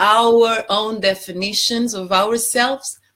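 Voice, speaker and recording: A woman talks very slowly with a Portuguese accent. Her voice sits fairly high. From Portugal. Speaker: life coach. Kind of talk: live stream talk. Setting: Facebook live stream.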